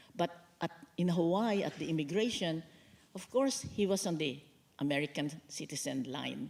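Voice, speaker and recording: Lively intonation marks this woman's speech. Her pitch is fairly low and her pace moderate. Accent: Filipino. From Philippines. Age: 80s+. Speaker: author and lawyer. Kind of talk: onstage book talk interview. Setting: stage with audience.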